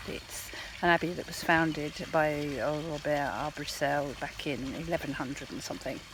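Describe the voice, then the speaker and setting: With noticeable background noise behind them, the speaker's voice stays soft-spoken. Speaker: travel vlogger. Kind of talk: casual vlog talk to camera. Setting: outdoors in abbey gardens. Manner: soft-spoken, talking quietly.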